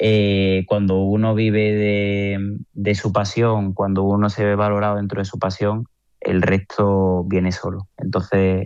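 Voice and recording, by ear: At a slow pace, a man talks in a fairly low, clear, smooth and slightly mellow tone with monotone, flat intonation.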